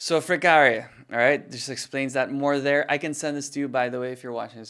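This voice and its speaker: A man's bright, sharp voice at a very fast pace, on a very clean recording over a silent background. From Philippines. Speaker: fitness company founder and personal trainer. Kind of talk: presentation. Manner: casual, halting with fillers.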